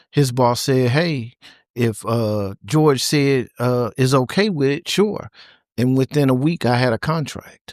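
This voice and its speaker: Delivered at a fairly slow pace, this is an ordinary speaking voice with ordinary pitch variation, very even loudness, and a dry, close sound with no echo. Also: man, medium pitch for a man. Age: 60s. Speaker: trucking company founder and CDL school owner. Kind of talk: interview.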